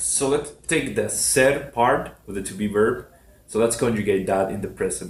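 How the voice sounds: A man talks at a moderate pace with a fairly low pitch. Room echo is audible. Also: ordinary pitch variation.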